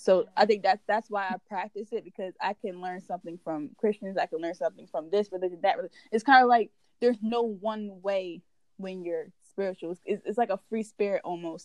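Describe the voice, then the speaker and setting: In a normal speaking voice, a woman talks at a fairly quick pace and medium pitch, keeping her intonation fairly even. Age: 20s. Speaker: tarot reader. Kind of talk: casual chat.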